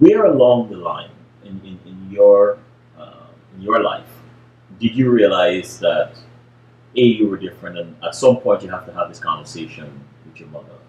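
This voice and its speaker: A man speaks with long, frequent pauses. There is audible room echo and light background noise. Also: moderate pace, big swings in loudness. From Guyana. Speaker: interviewer. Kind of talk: interview. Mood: calm, thoughtful. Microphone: webcam.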